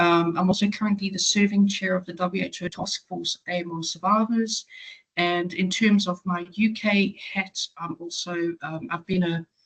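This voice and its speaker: With a South African accent, a woman talks at a moderate pace in a medium pitch, her intonation fairly even and her voice somewhat breathy. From South Africa, Johannesburg. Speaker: patient advocate. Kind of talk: webinar talk. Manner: hesitant, many fillers.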